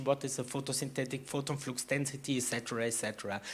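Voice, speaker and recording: A normal speaking voice from a man, fairly high in pitch, with fairly even intonation and a fairly quick pace, on a very clean recording with a silent background. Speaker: vertical farming expert speaker. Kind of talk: conference talk.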